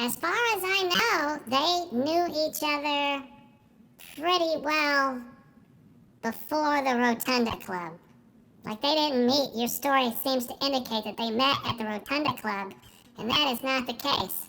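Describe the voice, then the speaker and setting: A woman speaks in a put-on character voice at a high pitch. Her pace is fairly slow. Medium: audio drama. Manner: eager, chatty.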